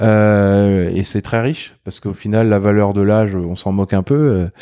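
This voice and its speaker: A man with a fairly low pitch and a dark, mellow tone talks at a fairly slow pace against a quiet background. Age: 30s. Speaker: entrepreneur. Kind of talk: interview.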